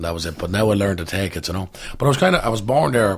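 A man's somewhat breathy, fairly low-pitched voice at a very fast pace, with ordinary pitch variation. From Dublin, Ireland (Coolock). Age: 20s. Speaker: actor. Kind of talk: casual chat.

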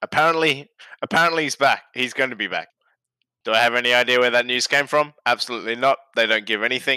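Speaking at a very fast pace, a man with a medium pitch and a bright, sharp tone keeps his intonation fairly even, the sound dry and close with no echo. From Britain. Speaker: football fan guest. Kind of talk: casual chat.

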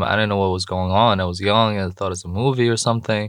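A man's fairly low, monotone, flat voice in a very clean recording with a silent background. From Jordan. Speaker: entrepreneur and youth mentor. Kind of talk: interview.

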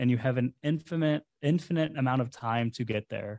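A man uses an ordinary speaking voice at a medium pitch and moderate pace, with ordinary pitch variation and a dry, close sound with no echo. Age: 30s. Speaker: entrepreneur. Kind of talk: interview.

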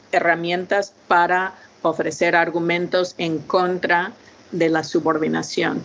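Fairly low-pitched woman with an English accent, very slow and in monotone, flat intonation. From United States. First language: English (speaking Spanish). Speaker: linguistics professor. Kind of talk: interview. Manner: halting.

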